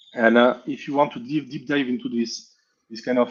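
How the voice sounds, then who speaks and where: Speaking at a fairly quick pace, a man talks with a French accent. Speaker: hardware hacker presenting software. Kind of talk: technical presentation.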